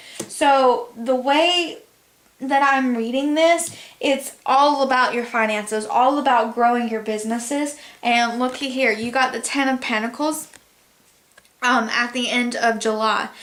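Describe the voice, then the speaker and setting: A woman with a high pitch speaks at a fairly slow pace and with fairly even intonation, with audible room echo around her. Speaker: tarot reader. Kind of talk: tarot reading.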